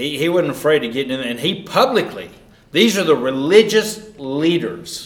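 A Southern US accent with very wide pitch swings, a moderate pace and noticeable background noise. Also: man. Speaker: Bible class teacher. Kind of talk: sermon-style Bible lesson. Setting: church class. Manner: informal, conversational, teaching.

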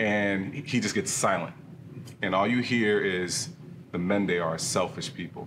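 A man talks at a fairly slow pace in a fairly low pitch, with noticeable background noise. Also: ordinary pitch variation. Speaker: church elder and small group leader. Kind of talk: casual discussion.

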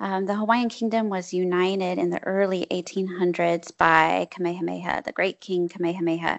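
Over a quiet background, a woman with an American accent talks at a moderate pace. She has an ordinary speaking voice, medium in pitch for a woman. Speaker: history professor, author. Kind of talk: interview.

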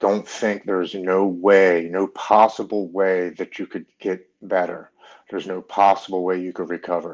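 A man's very deep, low voice moves fairly slowly in a monotone with flat intonation. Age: 40s. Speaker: recovering alcoholic, Marine veteran. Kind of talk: casual chat.

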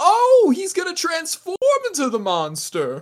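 At a moderate pace, someone uses a put-on character voice pitched extremely high. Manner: excitable, earnest.

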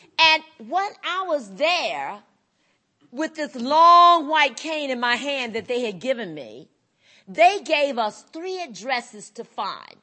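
A woman speaks very slowly in a high pitch with a North Carolina accent. Her loudness swings widely. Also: lively intonation. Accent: Southern US (North Carolina). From US South, North Carolina. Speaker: blind rights advocate. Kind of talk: conference speech.

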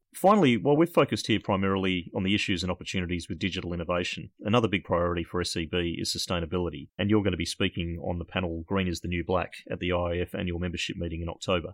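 In a dry, close sound with no echo and a quiet background, a man with an Australian accent speaks at a very fast pace with hardly any pauses, his very deep, low pitch held to fairly even intonation. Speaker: podcast host. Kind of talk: interview conversation.

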